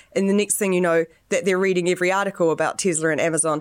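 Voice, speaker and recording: A woman with a New Zealand accent at a very fast pace, medium pitch and ordinary pitch variation. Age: 30s. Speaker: startup founder and product designer. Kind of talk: casual interview.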